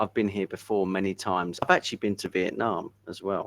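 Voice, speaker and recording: Dry, close sound with no echo from a man with an English accent, a fairly low pitch and a moderate pace. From England. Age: 50s. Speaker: English tutor. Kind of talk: casual chat.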